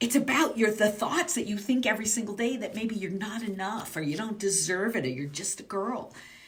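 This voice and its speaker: A woman talks at a fairly quick pace with hardly any pauses, her fairly high pitch, lively intonation and animated tone heard over noticeable background noise and audible room echo. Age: 60s. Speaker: business mindset coach. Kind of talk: motivational coaching talk.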